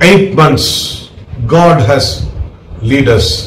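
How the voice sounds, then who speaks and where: The man's voice carries audible room echo over light background noise. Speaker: preacher. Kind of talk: sermon.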